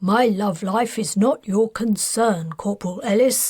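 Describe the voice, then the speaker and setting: Putting on a character voice, a woman speaks at a fairly slow pace in a medium pitch with ordinary pitch variation. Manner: gruff, stern, mocking.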